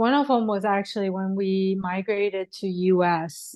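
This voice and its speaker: The speaker has a Persian accent and a dark, mellow tone, talking at a fairly slow pace. The background is quiet. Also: woman. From Iran, moved to US at eleven. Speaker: spiritual healer and author. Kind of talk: podcast interview.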